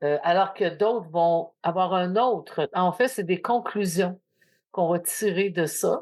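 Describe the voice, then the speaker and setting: Against a quiet background, a woman speaks at a very slow pace and medium pitch, with ordinary pitch variation. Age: 60s. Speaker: podcast host. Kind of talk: casual chat.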